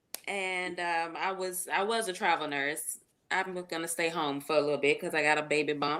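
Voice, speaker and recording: A woman's bright, sharp voice, fairly low in pitch, with fairly even intonation and a Jacksonville accent. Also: moderate pace. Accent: Jacksonville, Florida. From Jacksonville, Florida. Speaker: nurse and author. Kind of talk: live interview. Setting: livestream.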